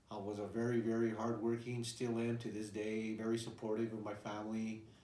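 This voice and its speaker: Through noticeable background noise and audible room echo, a man speaks at a moderate pace with monotone, flat intonation. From New Mexico, Albuquerque. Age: 60s. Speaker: retired veteran and bull breeder. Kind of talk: personal life-story interview. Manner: hesitant, many fillers and repeats.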